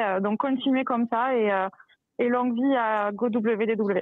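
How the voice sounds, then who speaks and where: With a slight southern French accent, a woman speaks fairly slowly at a high pitch with ordinary pitch variation. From southern France, near Toulouse. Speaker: contest winner, listener. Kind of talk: casual chat.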